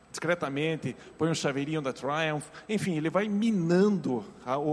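Lively intonation at a moderate pace. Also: man. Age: 50s. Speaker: pastor. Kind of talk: sermon. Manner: animated.

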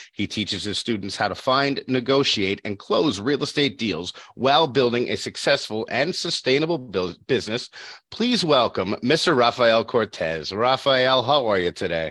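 With an ordinary speaking voice, a man talks at a moderate pace and medium pitch, using lively intonation. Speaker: podcast host. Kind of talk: casual interview. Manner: playful, jokey.

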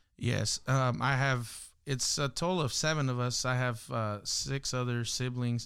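With an American accent, a man in an unremarkable speaking voice talks at a fairly slow pace with fairly even intonation and very even loudness, on a very clean recording with a silent background. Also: medium pitch for a man. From Los Angeles, South Central (Watts). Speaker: hip hop artist and worship leader. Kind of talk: casual interview chat.

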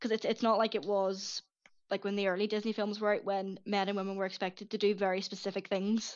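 Speaking very fast in a monotone, flat way, a woman with a Northern Irish accent has a medium pitch. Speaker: writer and Disney film enthusiast. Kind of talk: casual chat. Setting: Skype call.

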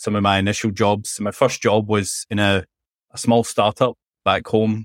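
The speech comes in a Scottish accent at a fairly slow pace, with monotone, flat intonation. The recording is very clean, dry and close, with a silent background and no echo. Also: man. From Scotland; Glasgow. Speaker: MLOps head and author. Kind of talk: casual interview chat.

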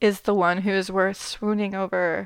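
A woman speaks in a normal speaking voice at a medium pitch and a moderate pace. The background is quiet. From Canada. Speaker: podcast host. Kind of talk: solo book review monologue.

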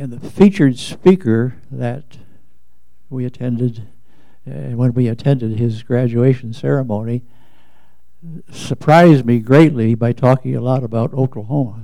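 A man with a dark, mellow tone speaks at a medium pitch and a moderate pace, with ordinary pitch variation. Loudness swings widely, and his pauses are long and frequent. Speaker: congregation member. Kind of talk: audience comment.

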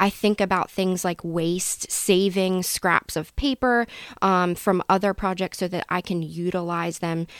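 In an unremarkable speaking voice with an American accent, a woman talks fairly slowly at medium pitch with fairly even intonation, the sound dry and close with no echo. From central Pennsylvania (Elizabethtown). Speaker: mural painter and small business owner. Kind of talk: casual interview.

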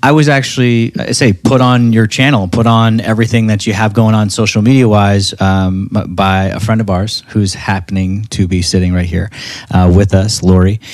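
A man's fairly low, enthusiastic voice at a moderate pace, with ordinary pitch variation. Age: 40s. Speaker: podcast host. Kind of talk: casual chat.

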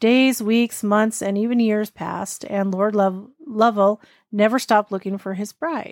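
In a very clean recording with a silent background, a woman talks at a fairly slow pace with a fairly high pitch. Hers is an ordinary speaking voice, with fairly even intonation. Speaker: podcast host reading ghost stories. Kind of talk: ghost story telling, read aloud from a text.

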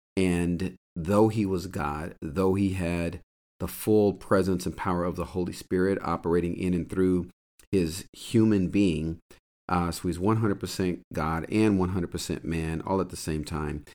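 A man's very deep, low voice at a moderate pace with fairly even intonation, in a very clean recording with a silent background. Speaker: podcast host and Bible teacher. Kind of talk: sermon-style teaching monologue. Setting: solo podcast recording.

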